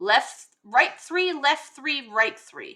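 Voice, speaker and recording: A woman uses a put-on character voice pitched high. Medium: game stream. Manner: wheedling, overly polite.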